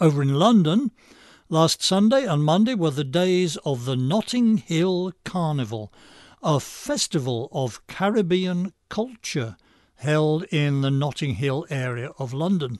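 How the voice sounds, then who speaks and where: With an English accent, a man speaks at a fairly slow pace over a quiet background. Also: lively intonation. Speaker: radio commentary host. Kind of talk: scripted monologue commentary. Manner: sardonic, dry.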